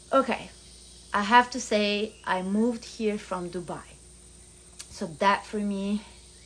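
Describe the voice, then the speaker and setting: Speaking very slowly with long, frequent pauses, a woman with a medium pitch and fairly even intonation talks in an Italian accent. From Italy. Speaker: vlogger. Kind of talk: casual vlog monologue.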